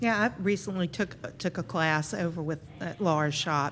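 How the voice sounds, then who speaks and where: In an ordinary speaking voice, a woman talks at a fairly low pitch with ordinary pitch variation, on a very clean recording with a silent background. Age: 60s. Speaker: fabric designer and quilter. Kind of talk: casual interview chat.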